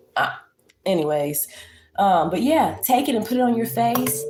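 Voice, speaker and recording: A woman talks at a moderate pace in an animated tone with lively intonation. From Virginia. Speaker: lifestyle livestreamer. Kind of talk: casual livestream chat and tutorial. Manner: animated, casual.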